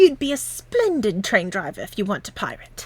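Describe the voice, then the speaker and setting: A woman puts on a character voice, speaking at a fairly quick pace with a fairly high pitch. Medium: read story. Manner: hearty.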